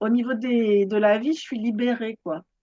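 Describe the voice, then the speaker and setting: A woman speaks at a moderate pace. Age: 60s. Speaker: yoga teacher and author. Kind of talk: interview. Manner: halting.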